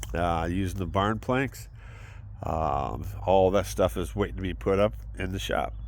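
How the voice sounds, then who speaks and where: A man's very deep, low voice with vocal fry and very wide pitch swings. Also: fairly slow pace. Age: 60s. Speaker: military veteran vlogger. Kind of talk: personal vlog monologue. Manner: halting, many fillers.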